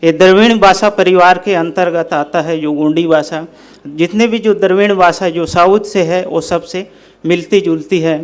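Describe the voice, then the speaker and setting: The speaker has a Central Indian accent. The intonation stays fairly even. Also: man, high pitch for a man. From Bastar, Chhattisgarh, India. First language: Gondi (speaking Hindi). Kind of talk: talk to an audience. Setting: speaking before a live audience. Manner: formal.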